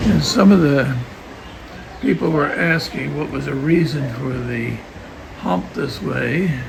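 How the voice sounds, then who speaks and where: Amid noticeable background noise and audible room echo, a man speaks at a very slow pace with long, frequent pauses. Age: 80s+. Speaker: travel vlogger. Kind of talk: casual travel vlog narration. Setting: outdoors.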